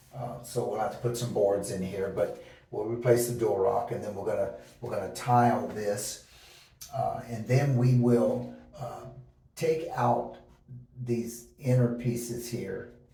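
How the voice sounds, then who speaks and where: Room echo is audible around this man's voice. His pace is fairly slow. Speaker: DIY home renovator. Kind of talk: tutorial. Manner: halting, many fillers; casual.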